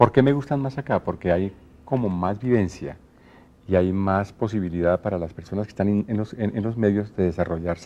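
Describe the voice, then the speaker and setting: A man with a Colombian accent talks at a fairly quick pace with ordinary pitch variation. His voice is fairly low and has a dark, mellow tone. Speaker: radio announcer and TV presenter. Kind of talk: interview answer.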